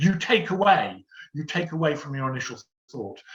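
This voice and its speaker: A man's fairly high voice with a southern English accent. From London. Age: 60s. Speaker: theatre stage manager. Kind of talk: Q&A session.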